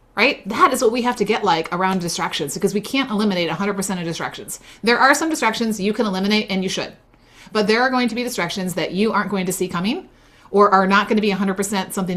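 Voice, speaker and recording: At a very fast pace, a woman talks at a medium pitch. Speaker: business coach running a faith-based masterclass. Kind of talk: live online workshop teaching. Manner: animated.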